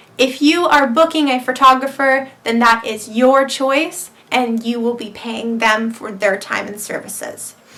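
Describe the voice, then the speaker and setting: Against noticeable background noise, a woman speaks at a fairly slow pace in a high pitch with ordinary pitch variation, big swings in loudness and hardly any pauses. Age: 18. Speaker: model and vlogger. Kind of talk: casual Q&A vlog.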